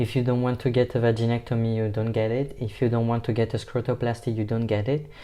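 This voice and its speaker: A man with a non-native accent talks at a very fast pace. His tone is dark and mellow, and his intonation monotone and flat. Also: medium pitch for a man. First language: not English. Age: 20s. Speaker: vlogger. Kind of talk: personal vlog.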